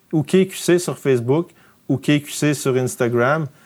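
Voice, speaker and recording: A fairly high-pitched male voice at a very slow pace, with ordinary pitch variation. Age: 30s. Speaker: outdoor filmmaker and production company founder. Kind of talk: casual interview.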